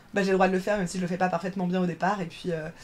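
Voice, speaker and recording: Her medium-pitched voice rushes by at a very fast pace. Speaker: drag performer. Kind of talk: podcast interview.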